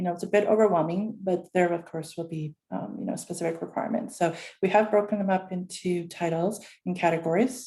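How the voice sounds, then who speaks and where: A woman talks at a very fast pace with a medium pitch and fairly even intonation. Her voice is somewhat breathy, with a dark, mellow tone. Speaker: academic advisor. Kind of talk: orientation presentation. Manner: hesitant, many fillers.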